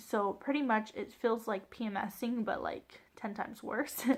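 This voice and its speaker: Vocal fry runs through speech delivered at a moderate pace with fairly even intonation. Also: woman. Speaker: vlogger sharing birth story. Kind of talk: personal storytelling vlog. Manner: casual, filler-heavy.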